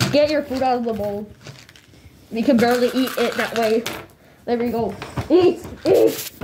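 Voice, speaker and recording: A cartoonish character voice, fairly high in pitch, at a moderate pace. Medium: puppet. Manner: bossy.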